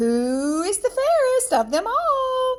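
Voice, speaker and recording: Putting on a character voice, a woman squeaks and cackles at an extremely high pitch, speaking very slowly with very wide pitch swings. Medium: read story. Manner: cackling, scheming.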